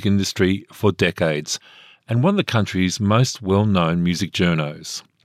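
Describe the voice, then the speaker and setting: The recording is dry and close with no echo, carrying a man's fairly low voice. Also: very clean recording, silent background. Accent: Australian. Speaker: radio host. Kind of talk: radio interview.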